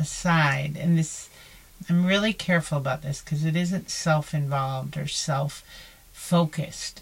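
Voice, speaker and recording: This woman's pitch is very deep and low, and her voice is somewhat breathy. She talks fairly slowly with fairly even intonation. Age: older than 34. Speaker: podcast co-host. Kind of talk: casual chat.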